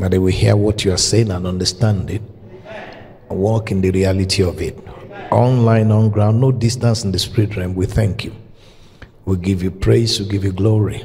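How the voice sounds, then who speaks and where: A man speaks at a moderate pace in a monotone, flat intonation, with long, frequent pauses and light background noise. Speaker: preacher. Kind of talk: opening prayer. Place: church. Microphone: handheld.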